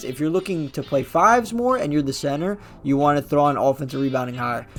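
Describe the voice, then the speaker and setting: Over music in the background, a man talks at a fairly quick pace in a fairly high pitch. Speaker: gaming youtuber. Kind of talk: gaming tutorial. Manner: casual.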